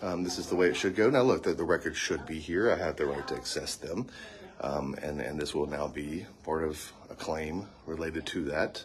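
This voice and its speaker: A soft-spoken man with a calm tone over noticeable background noise. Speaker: attorney and video activist. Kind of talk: live vlog, talking to camera and staff. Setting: courthouse, livestream. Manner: soft-spoken, quiet.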